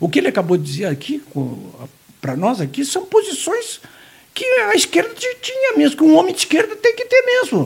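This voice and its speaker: Long, frequent pauses from a man talking at a moderate pace. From Santa Catarina, Brazil (Jaraguá do Sul). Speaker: journalist. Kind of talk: casual interview chat.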